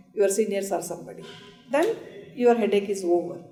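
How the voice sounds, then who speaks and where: A woman speaks over music in the background. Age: 60s. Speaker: senior lawyer. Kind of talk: panel discussion.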